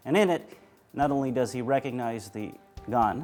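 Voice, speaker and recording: A man speaks while music plays in the background. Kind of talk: auction house presentation of firearms.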